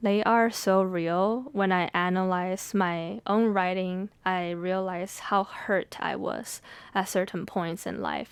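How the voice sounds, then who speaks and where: Speaking with a Mandarin accent, a woman keeps to a very slow pace. Her pitch is medium and her intonation fairly even. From Taiwanese American family, Mandarin-speaking home. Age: 20s. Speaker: podcast host and poet. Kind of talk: reflective monologue. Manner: casual, with fillers.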